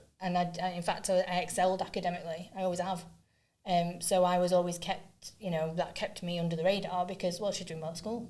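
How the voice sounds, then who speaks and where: A woman's dark, mellow tone at a fairly low pitch, delivered at a very fast pace. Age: 40s. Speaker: neuroinclusion advocate and trainer. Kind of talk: podcast interview. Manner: speeds up when excited.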